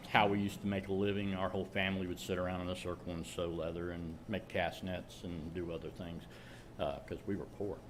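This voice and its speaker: A man talks fairly quickly in a very deep, low pitch. His intonation is monotone and flat, with audible room echo. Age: 60s. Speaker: maker presenting a leather project. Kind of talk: show-and-tell presentation with Q&A. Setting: meeting room with live audience, streamed. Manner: halting, many fillers and repeats.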